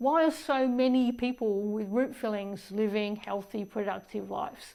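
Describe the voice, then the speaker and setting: The woman talks at a fairly slow pace. She speaks in an Australian accent. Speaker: dentist. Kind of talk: casual talk to camera about health.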